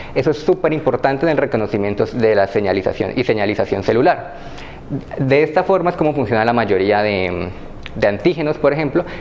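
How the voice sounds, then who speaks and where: A man talks fairly quickly with very wide pitch swings over noticeable background noise. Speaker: graduate student instructor. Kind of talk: lecture. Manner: hesitant with fillers; fast.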